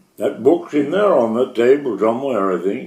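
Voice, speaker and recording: A man of medium pitch at a fairly slow pace. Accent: coastal Maine. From Chebeague Island, Maine. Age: 80s+. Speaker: former seaman. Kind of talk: oral history interview answer.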